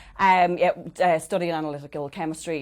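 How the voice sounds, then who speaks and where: With an Irish accent, a woman speaks at a fairly quick pace with fairly even intonation. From Ireland. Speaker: change coach. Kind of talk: interview. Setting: studio.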